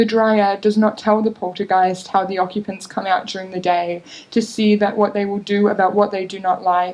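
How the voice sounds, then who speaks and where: Speaking at a moderate pace with hardly any pauses, a woman uses a medium pitch and a monotone, flat intonation. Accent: Australian. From North Queensland, Australia. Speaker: creative writing student. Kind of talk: short story reading at a literary event.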